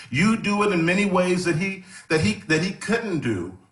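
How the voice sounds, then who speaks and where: A man in an American accent at a fairly slow pace, with audible room echo. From Texas. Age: 60s. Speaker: gospel singer. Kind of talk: conversation at a live event. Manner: halting, with frequent repetitions.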